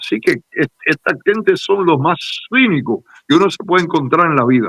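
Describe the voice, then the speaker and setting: A man speaks at a moderate pace in a high pitch with lively intonation, and the sound is dry and close with no echo. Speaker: Cuban exile activist leader. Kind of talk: interview.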